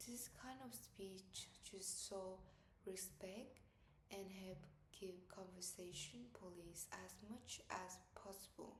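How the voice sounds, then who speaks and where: In a room with audible echo, a woman speaks very slowly with a Vietnamese accent. Her voice sits at a medium pitch with ordinary variation. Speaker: student. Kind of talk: class presentation.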